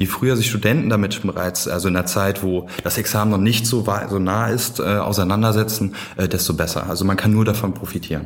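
Fairly even in intonation, a man talks fairly quickly through noticeable background noise. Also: fairly low pitch for a man, very even loudness. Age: 20s. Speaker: student society chair. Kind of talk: podcast interview.

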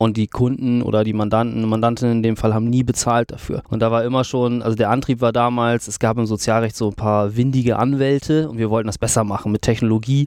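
Hardly pausing, the speaker goes at a very fast pace in a monotone, flat intonation. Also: man, medium pitch for a man. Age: 30s. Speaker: legal tech company CEO. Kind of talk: interview conversation. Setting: in person at the guest's office.

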